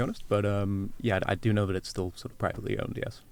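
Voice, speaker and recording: Very fast talk from a man, his pitch varying in an ordinary way. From Wales. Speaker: agricultural market analyst. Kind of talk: podcast interview.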